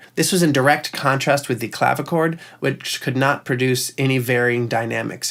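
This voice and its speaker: With vocal fry, a man speaks at a moderate pace. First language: Italian. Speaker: music producer. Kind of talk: tutorial.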